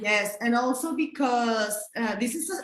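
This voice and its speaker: With a Spanish accent, a woman speaks at a fairly slow pace with lively intonation. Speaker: abortion rights activist. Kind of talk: panel discussion. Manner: halting.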